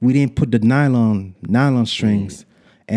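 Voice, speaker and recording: A man speaks at a moderate pace and medium pitch, his tone dark and mellow. The sound is dry and close with no echo, in a very clean recording with a silent background. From Montreal, Quebec. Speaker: music producer. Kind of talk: casual chat.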